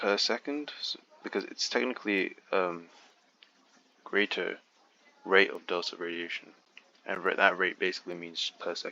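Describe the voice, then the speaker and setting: A man speaks quietly at a moderate pace, with long, frequent pauses. Noticeable background noise runs behind him. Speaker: physics exam walkthrough tutor. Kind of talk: tutorial. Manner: halting, stuttering; quieter at first. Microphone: quiet recording level.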